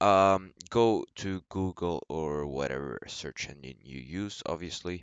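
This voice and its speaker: Very deep and low, a man's voice moves with ordinary pitch variation. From Sweden. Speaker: gaming YouTuber. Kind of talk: tutorial.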